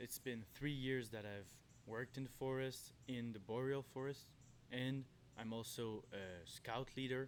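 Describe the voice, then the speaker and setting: Speaking with a Quebec accent, a man at medium pitch keeps a fairly slow pace and fairly even intonation. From Quebec, Canada. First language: French. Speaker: forest worker and backpacker. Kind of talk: outdoor tutorial. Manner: halting, self-correcting.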